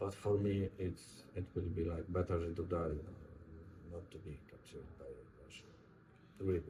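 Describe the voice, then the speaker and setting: A man speaks with a Polish accent in a very deep, low voice, somewhat breathy and dark and mellow in tone, his intonation fairly even while his loudness swings widely and long pauses come often. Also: moderate pace. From Poland. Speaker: war veteran. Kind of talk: interview. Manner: halting.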